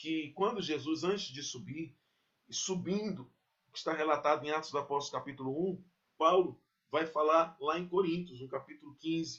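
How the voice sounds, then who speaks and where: A man has a plain, everyday voice with a fairly high pitch and ordinary pitch variation. He talks at a moderate pace. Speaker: pastor. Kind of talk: sermon.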